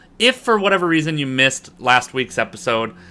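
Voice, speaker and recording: A man with an American accent speaks loudly at a fairly quick pace, his tone bright and sharp and his intonation lively. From US, Boston, Massachusetts. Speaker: business coach and online instructor. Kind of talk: online lecture. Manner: fast.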